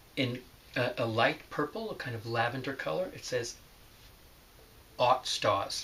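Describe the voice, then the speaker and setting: A man talks at a fairly slow pace. He speaks with an American accent. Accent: New York accent, hidden in class. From New York City, the Bronx. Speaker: teacher. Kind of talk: remote lesson, reading aloud. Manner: careful, clear enunciation.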